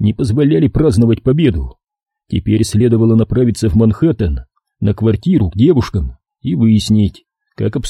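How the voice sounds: Lively intonation runs through a natural reading voice. Nothing disturbs the quiet background.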